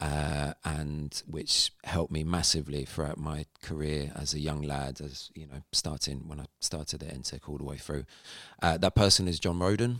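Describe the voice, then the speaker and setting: In a British accent, a man talks at a moderate pace with a very deep, low pitch, vocal fry, and fairly even intonation. The recording is very clean, with a silent background. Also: dry, close sound with no echo. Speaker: live sound engineer and app founder. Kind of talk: casual interview chat. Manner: halting, many fillers.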